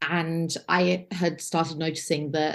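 Against a quiet background, a woman with an English accent talks in a very deep, low voice with monotone, flat intonation. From England. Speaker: first-time pilgrim sharing her story. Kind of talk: interview, personal testimony.

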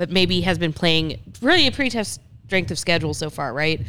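The tone is bright and sharp, with vocal fry. Lively intonation comes with an American accent. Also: woman. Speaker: podcast co-host, rec league organizer. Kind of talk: casual chat. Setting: studio.

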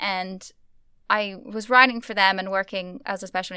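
Bright and sharp in tone, a woman's medium-pitched voice holds fairly even intonation in a dry, close sound with no echo on a very clean recording with a silent background. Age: 30s. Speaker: cinema manager. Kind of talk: interview.

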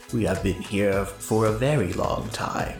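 Over clear background music, a man uses a put-on character voice, fairly low in pitch, at a moderate pace. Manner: eerie, ominous.

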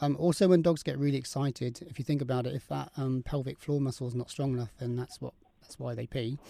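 In a dry, close sound with no echo, a man speaks very fast in a dark, mellow tone with fairly even intonation. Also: medium pitch for a man. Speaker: dog trainer. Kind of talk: radio interview. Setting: remote link to radio studio.

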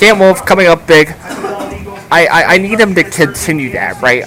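Music plays behind a man's voice. He sounds enthusiastic, with lively intonation. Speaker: radio color commentator. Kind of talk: live game analysis as color commentary. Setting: stadium press box, radio broadcast. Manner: conversational, analytical, enthusiastic.

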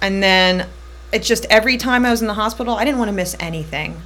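A woman at a fairly quick pace, with ordinary pitch variation and noticeable background noise. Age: 30s. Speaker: cancer survivor. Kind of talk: casual chat.

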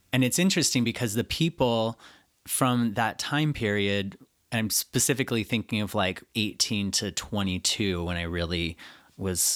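A man's fairly low-pitched, plain, everyday voice with ordinary pitch variation, very clean recording and a silent background. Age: 40s. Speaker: healer and spiritual coach. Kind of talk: interview.

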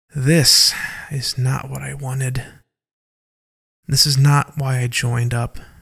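A man uses a put-on character voice, fairly bright in tone, with vocal fry and a slightly husky edge. He goes at a slow pace with little pitch movement. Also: medium pitch for a man.

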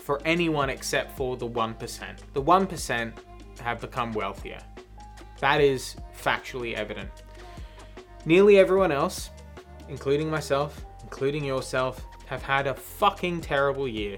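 Music plays in the background while a man talks at a fairly slow pace with long, frequent pauses. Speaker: podcast co-host. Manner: casual, sweary.

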